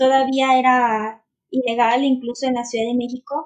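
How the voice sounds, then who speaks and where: A woman with a high pitch talks at a fairly slow pace. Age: 30s. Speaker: writer and abortion-rights activist. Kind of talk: interview.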